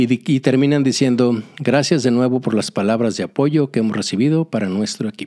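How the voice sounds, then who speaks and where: A man talks at a fairly quick pace with hardly any pauses and a dark, mellow tone. His medium pitch shows ordinary variation. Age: 60s. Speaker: podcast host. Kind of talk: solo podcast monologue. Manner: halting, with fillers.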